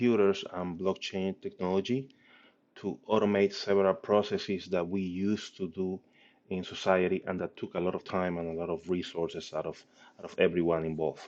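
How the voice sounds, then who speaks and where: A man with a very deep, low pitch and a strong non-native accent, fairly even intonation, and a fairly quick pace. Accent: heavy foreign. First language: not English. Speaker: startup founder and CEO. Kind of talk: presentation and product demo. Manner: hesitant with many fillers.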